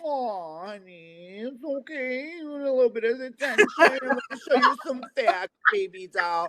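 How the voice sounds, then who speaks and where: A woman uses a put-on character voice, high-pitched and nasal. Her pitch swings very widely at a moderate pace. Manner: sassy, condescending.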